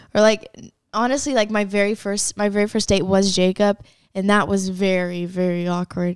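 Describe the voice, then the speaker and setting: With a plain, everyday voice, a woman talks at a moderate pace and medium pitch with fairly even intonation. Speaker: social media content creator. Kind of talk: casual chat.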